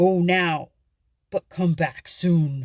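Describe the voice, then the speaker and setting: A put-on character voice at a middle pitch with fairly even intonation. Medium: read story. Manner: thundering.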